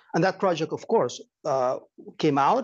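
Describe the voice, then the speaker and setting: With a Spanish accent, a man talks in a fairly high voice. His intonation is lively, and the background is quiet. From Chile. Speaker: nonprofit director and anthropologist. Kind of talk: lecture. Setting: seminar room with audience, streamed on Zoom.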